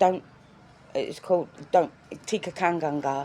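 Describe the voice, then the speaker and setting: With an English accent, a woman talks in fairly even intonation. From England. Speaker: vlogger. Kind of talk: personal video diary. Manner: halting.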